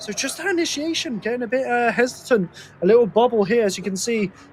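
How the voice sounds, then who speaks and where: Noticeable background noise fills the clip. A man speaks over it at a fairly quick pace. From Britain. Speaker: motorsport commentator. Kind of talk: live commentary. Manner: animated.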